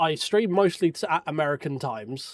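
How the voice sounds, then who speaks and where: A man with a strong English accent speaks at a moderate pace. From England. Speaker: sim racing streamer. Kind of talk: casual chat during live sim racing stream. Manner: halting, repeats words.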